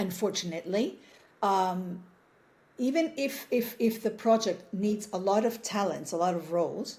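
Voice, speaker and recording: A woman's somewhat breathy voice, medium in pitch with a dark, mellow tone, ordinary pitch variation and a moderate pace. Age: 60s. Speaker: actress. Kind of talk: interview. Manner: halting.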